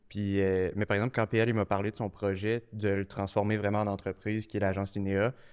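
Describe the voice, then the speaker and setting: Speaking at a fairly quick pace, a man with fairly low pitch keeps a monotone, flat intonation. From Quebec, Quebec City area. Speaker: marketing agency co-founder. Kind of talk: casual interview.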